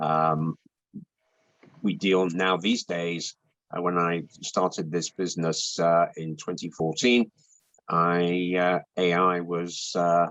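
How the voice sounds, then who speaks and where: A man with a British accent talks in a very deep, low pitch with fairly even intonation. The sound is dry and close, with no echo. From UK. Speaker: intellectual property consultant. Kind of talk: interview. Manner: hesitant, many fillers.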